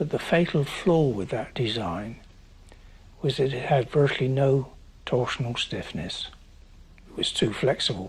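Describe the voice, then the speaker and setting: Here a man with a medium pitch sounds somewhat breathy, speaking at a fairly slow pace with lively intonation and long, frequent pauses. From England, Bristol. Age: 80s+. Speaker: retired bridge design engineer. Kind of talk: documentary interview.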